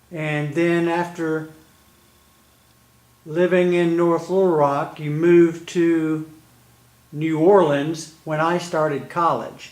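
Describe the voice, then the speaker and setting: With an American accent, the speaker talks at a very slow pace in a monotone, flat intonation, with long, frequent pauses. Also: man, high pitch for a man. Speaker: interviewer. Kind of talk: interview questions.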